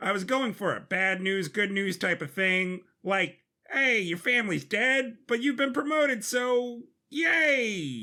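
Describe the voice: Putting on a character voice, a man speaks slowly at a high pitch, with lively intonation and a bright, sharp tone.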